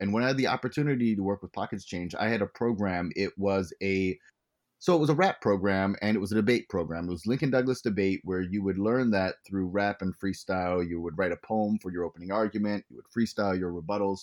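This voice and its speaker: A plain, everyday voice, this man talks with an American accent at a fairly quick pace, fairly low pitch and ordinary pitch variation. The recording is very clean with a silent background and a dry, close sound with no echo. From US Virgin Islands (St. Croix). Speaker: rapper and educator. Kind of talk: interview.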